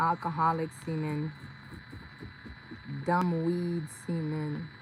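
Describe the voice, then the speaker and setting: Her voice is fairly low and somewhat breathy. The woman speaks at a very slow pace. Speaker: vlogger. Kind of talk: monologue rant. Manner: animated.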